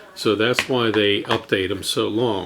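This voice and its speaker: The speech moves at a very slow pace with fairly even intonation. Noticeable background noise is present. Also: man. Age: 60s. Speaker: drone hobbyist vlogger. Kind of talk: casual tutorial.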